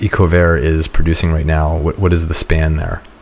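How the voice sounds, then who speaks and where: Noticeable background noise sits under this recording. A man talks at a moderate pace in a very deep, low voice. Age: 40s. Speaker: podcast host. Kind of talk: interview.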